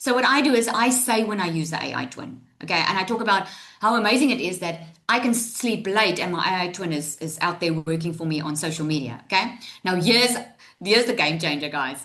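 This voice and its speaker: Animated and lively in intonation, a woman speaks at a fairly quick pace and medium pitch, with audible room echo and noticeable background noise. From South Africa. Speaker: online business coach. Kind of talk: live tutorial webinar. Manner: fast.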